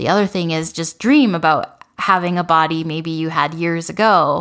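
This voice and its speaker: In a normal speaking voice, a woman talks at a fairly slow pace with fairly low pitch and fairly even intonation, on a very clean recording with a silent background. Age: 40s. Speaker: dietitian and podcast host. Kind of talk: solo podcast monologue.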